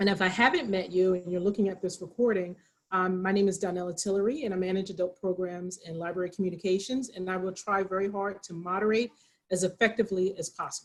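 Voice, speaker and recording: A woman speaks very fast in a Pennsylvania accent. Her medium-pitched voice keeps a fairly even intonation. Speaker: librarian, program moderator. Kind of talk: moderated author talk. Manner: informal, hesitant.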